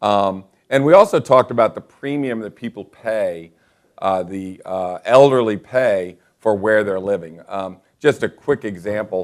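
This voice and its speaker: A man speaks in a normal speaking voice, fairly low in pitch and fairly slow in pace. His pitch varies in an ordinary way while his loudness swings widely. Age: 60s. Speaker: real estate agent and show host. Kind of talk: casual live-stream talk show. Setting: office studio, live online broadcast.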